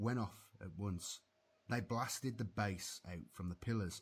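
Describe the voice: The delivery is plain reading aloud. Pitch shifts in an ordinary way.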